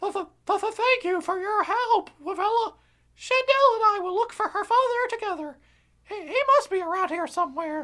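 Someone does a put-on character voice at an extremely high pitch and a moderate pace. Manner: stammering.

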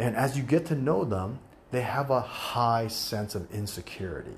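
He speaks with an American accent at a medium pitch, with ordinary pitch variation. The man's voice is somewhat breathy. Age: 50s. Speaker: podcast host, real estate agent. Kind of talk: solo podcast monologue.

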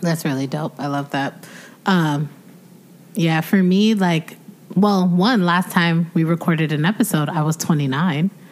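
A woman at a fairly low pitch, fairly slow in pace, with ordinary pitch variation. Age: 30s. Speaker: podcast co-host. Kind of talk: casual chat.

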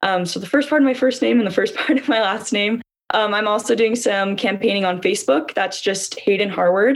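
A woman with a Utah accent, medium pitch, ordinary pitch variation and a fairly quick pace. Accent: Utah American English. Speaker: student government candidate. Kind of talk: interview.

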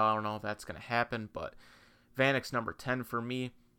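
A man speaks in a normal speaking voice at a medium pitch, with fairly even intonation. His pace is fairly quick, and the recording is very clean with a silent background. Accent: American. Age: 20s. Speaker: sports podcast host. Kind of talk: solo sports podcast monologue. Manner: casual, frequent filler 'um'.

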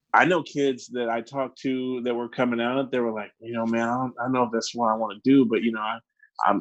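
A man with an American accent speaks at a fairly quick pace and medium pitch. His intonation is monotone and flat, and the background is quiet. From Arizona. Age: 20s. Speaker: former football player, tech product advisor. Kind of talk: casual chat.

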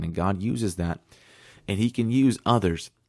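Over a silent background in a very clean recording, a man speaks at a fairly low pitch with fairly even intonation. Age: 20s. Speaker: youth pastor and school teacher. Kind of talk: sermon. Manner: casual.

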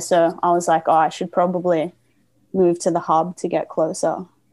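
Speaking fairly slowly with an Australian accent, a woman uses a fairly low pitch and a dark, mellow tone, her intonation monotone and flat. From Australia, Gold Coast, Queensland. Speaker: skateboarder. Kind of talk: casual chat. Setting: video call.

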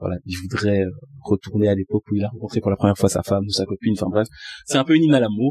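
A man's fairly low voice in a dry, close sound with no echo. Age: 20s. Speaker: music artist manager. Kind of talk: casual chat. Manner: articulate, polished speech.

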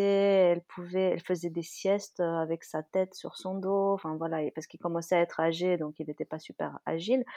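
In a dark, mellow tone, the voice moves at a moderate pace, with a dry, close sound, no echo, and a quiet background. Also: woman. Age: 30s. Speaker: dog-owning mother, guest. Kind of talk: casual chat.

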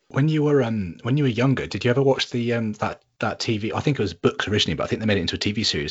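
A man with an English accent at a very fast pace. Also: hardly any pauses. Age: 30s. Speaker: podcast host. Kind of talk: casual chat. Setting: remote call. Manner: halting.

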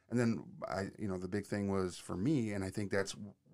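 A man speaks in a plain, everyday voice with an American accent. His pitch is fairly low, with ordinary variation. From Michigan. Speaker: podcast host. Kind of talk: casual chat.

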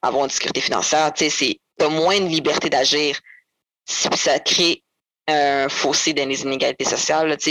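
A woman speaks in a very deep, low voice with a flat, monotone delivery, recorded dry and close with no echo. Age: 20s. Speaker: former foster youth, nursing student. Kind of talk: testimony. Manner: halting.

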